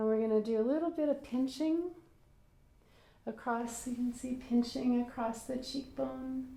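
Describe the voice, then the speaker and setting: A woman with a high pitch speaks fairly slowly in a calm, soothing, dark, mellow tone, her intonation fairly even. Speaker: medical massage therapist. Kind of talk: guided massage tutorial.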